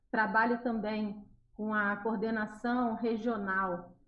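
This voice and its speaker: The speaker has a Carioca accent. The intonation is flat and monotone. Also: woman. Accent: carioca accent, noticeable in the region. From Rio de Janeiro, Brazil. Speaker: children's religious educator. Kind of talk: interview on a live radio show.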